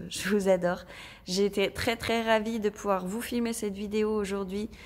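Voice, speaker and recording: Medium in pitch, a woman speaks with monotone, flat intonation. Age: 30s. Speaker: budgeting and craft shop vlogger. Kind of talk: casual vlog talk to viewers.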